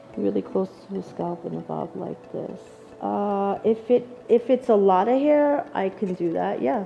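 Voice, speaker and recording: A woman with a Long Island accent talks at a fairly slow pace. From Long Island, New York. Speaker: hairdresser educator. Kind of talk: live demonstration tutorial.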